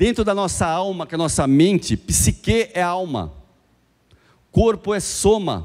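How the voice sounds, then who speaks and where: Over a quiet background, a man with a high pitch speaks in an animated tone at a fairly slow pace, with ordinary pitch variation and long, frequent pauses. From Brazil. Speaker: business speaker; speaker. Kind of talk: motivational talk. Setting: stage with audience. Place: hall. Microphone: handheld.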